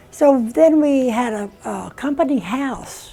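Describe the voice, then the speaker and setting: Pitch varies in an ordinary way. Background noise is noticeable. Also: woman. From South Texas border and Monterrey, Mexico. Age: 80s+. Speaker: retired Spanish teacher. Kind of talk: interview storytelling.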